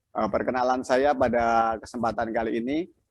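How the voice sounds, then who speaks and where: A man speaks with a Javanese accent. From Central Java, Klaten. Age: 50s. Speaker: video editing instructor. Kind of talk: online class tutorial. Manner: halting.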